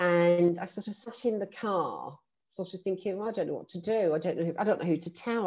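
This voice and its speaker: A woman with a London accent at a fairly quick pace. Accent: British English, London. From London, England. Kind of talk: casual interview chat.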